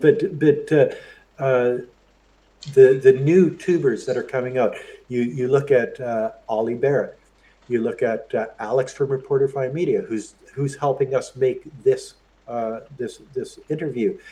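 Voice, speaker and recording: In a Canadian accent, the speaker talks at a fairly slow pace. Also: man. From Canada. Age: 60s. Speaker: YouTuber. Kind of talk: interview. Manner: halting, many repeated words.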